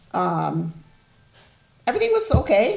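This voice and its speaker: A woman's voice with music in the background. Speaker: mother of the hosts, guest. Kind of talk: personal testimony, emotional interview. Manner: open, vulnerable.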